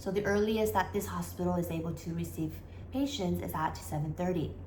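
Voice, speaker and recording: The voice moves at a moderate pace, with audible room echo around it. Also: woman. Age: 40s. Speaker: vlogger. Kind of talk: casual vlog explanation.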